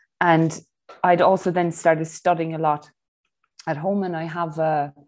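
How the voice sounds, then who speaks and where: A woman's very deep, low voice with an Irish accent at a moderate pace, on a very clean recording with a silent background. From Ireland. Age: 40s. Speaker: breathwork instructor and personal trainer. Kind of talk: interview.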